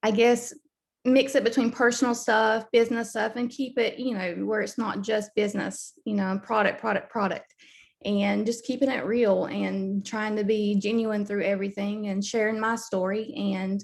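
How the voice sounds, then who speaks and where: With a Southern US accent, a woman of fairly high pitch speaks at a moderate pace with fairly even intonation. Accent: Southern US (Georgia). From US South, Southeast Georgia. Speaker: network marketing team member. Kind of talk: video call interview. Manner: hesitant, many fillers.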